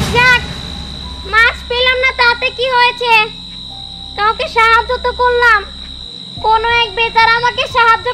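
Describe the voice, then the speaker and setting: A female-sounding voice does a put-on character at a moderate pace. The pitch is extremely high. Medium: short film.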